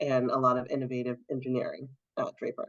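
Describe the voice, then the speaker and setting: A woman with an American accent talks at a fairly quick pace. Her very deep, low pitch has a bright, sharp tone. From Massachusetts, Brockton (south of Boston). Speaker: diversity executive. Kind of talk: interview. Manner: frequent fillers (um).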